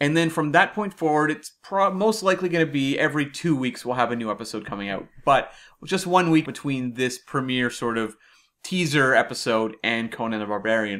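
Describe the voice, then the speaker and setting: On a very clean recording with a silent background, a man speaks fairly quickly in an ordinary speaking voice, fairly high in pitch with lively intonation. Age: 30s. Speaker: podcast co-host. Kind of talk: casual chat.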